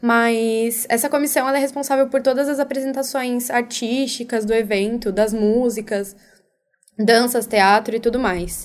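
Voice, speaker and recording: A woman with an unremarkable speaking voice talks at a fairly slow pace and a fairly high pitch. Her intonation is fairly even, and her loudness stays very even. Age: young. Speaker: youth volunteer coordinator. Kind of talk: radio interview.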